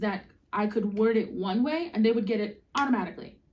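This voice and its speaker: A woman's somewhat breathy, fairly high voice moves at a moderate pace. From Iowa, US Midwest. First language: Spanish. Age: 30s. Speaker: musician and former teacher. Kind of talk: casual chat.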